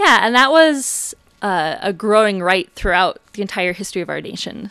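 A woman's bright, sharp tone at a fairly quick pace, in an Upper Midwest accent. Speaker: museum curator. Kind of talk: radio interview.

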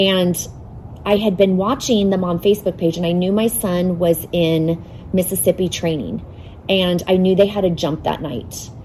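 Over noticeable background noise, a woman with an American accent speaks at a moderate pace in a medium pitch with ordinary pitch variation. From Arizona, North Phoenix. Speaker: charity volunteer and mother. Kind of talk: casual interview.

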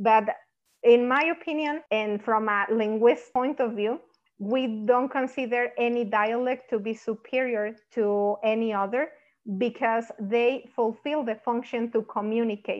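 A woman speaks with a Spanish accent at a fairly slow pace. Her pitch is fairly high and her intonation fairly even. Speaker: linguistics doctoral student and Spanish instructor. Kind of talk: academic interview discussion.

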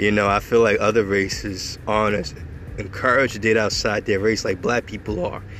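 Over noticeable background noise, a man with a fairly low pitch talks at a moderate pace and with fairly even intonation. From New York, Long Island. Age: 20s. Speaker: podcaster. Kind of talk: casual monologue. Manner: hesitant, many fillers.

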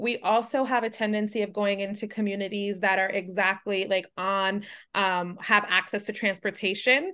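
Against a quiet background, a woman with a medium pitch and a bright, sharp tone talks at a moderate pace in a monotone, flat intonation with hardly any pauses. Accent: American. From New York City (Manhattan). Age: 30s. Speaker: business founder. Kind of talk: interview.

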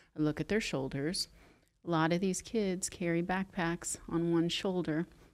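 An unremarkable speaking voice, a woman talks at a moderate pace in a fairly low pitch with fairly even intonation, in a very clean recording with a silent background. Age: 50s. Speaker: Pilates instructor and studio owner. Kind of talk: casual interview.

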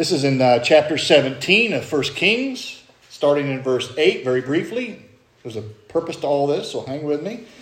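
A fairly high-voiced man with an American accent talks at a moderate pace and lively intonation. Noticeable background noise and audible room echo fill the recording. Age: 50s. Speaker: pastor. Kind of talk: sermon. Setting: church.

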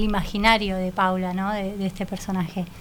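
A woman's medium-pitched voice at a moderate pace, an ordinary speaking voice. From Argentina. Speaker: playwright and theatre critic. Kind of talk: interview.

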